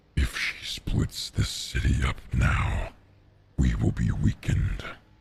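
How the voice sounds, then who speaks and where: A man puts on a growling character voice with a very deep, low pitch. He delivers it at a fairly slow pace. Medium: actual play. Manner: mocking, menacing.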